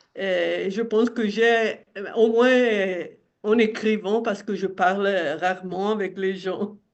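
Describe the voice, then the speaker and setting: A woman's medium-pitched voice in a flat monotone, at a very slow pace. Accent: Italian. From Italian-speaking southern Switzerland. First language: Italian (speaking French). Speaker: retired teacher and website editor. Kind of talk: interview.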